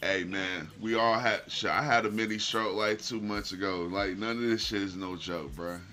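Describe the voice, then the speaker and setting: With audible room echo, a man talks in a fairly low pitch at a moderate pace, his intonation fairly even and hardly any pauses. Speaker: streamer. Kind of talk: casual chat. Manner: halting.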